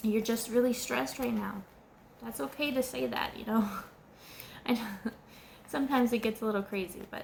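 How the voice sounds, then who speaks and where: Speech unfolds at a moderate pace. There is a somewhat breathy quality to the voice. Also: woman. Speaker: tarot reader. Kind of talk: tarot card reading monologue. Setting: indoors at home, candles and air conditioner. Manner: halting, repeats words.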